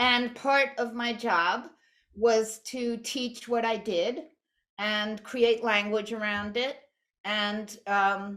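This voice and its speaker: Speaking in an American accent, a woman has a fairly high pitch and a bright, sharp tone. Her pace is very slow and her intonation fairly even. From New York. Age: 60s. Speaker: artist and art teacher. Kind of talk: lecture. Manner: halting.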